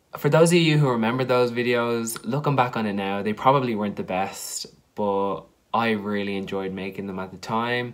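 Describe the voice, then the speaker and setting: With an Irish accent, a man talks at a fairly quick pace. The background is quiet. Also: medium pitch for a man, ordinary pitch variation. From Ireland. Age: young. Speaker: YouTuber, drama student; YouTuber. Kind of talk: casual vlog to camera. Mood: nostalgic, upbeat. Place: home room. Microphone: phone near.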